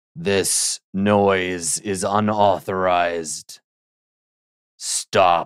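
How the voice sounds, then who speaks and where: In a put-on character voice, a man speaks with a very deep, low, raspy pitch. His delivery is very slow, with long, frequent pauses. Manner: authoritative, commanding.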